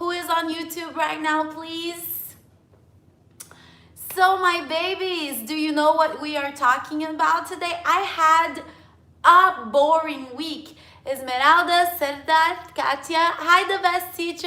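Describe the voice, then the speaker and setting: Speaking in a Portuguese accent at a very slow pace, a woman projects a raised, extremely high-pitched voice with a bright, sharp tone and big swings in loudness, with audible room echo. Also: ordinary pitch variation. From France. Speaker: English teacher. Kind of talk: live stream chat with viewers. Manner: animated.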